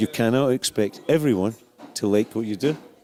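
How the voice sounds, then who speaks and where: Against noticeable background noise, a man speaks at a medium pitch and moderate pace. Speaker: rock singer. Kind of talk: interview.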